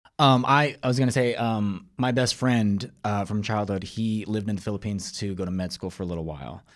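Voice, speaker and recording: This man has a plain, everyday voice with a General American accent and a fairly low pitch. He talks at a fairly quick pace with ordinary pitch variation. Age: 40s. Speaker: screenwriter and actor. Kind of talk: casual chat.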